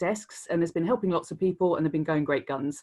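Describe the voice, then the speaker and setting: A woman with a British accent is heard in a very clean recording with a silent background. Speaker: creative director. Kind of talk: Q&A answers; conference talk. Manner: fast.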